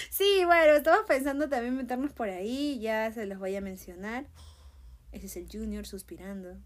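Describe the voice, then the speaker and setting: In a fairly high pitch, a woman talks with lively intonation. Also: moderate pace. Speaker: podcast host. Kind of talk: casual monologue.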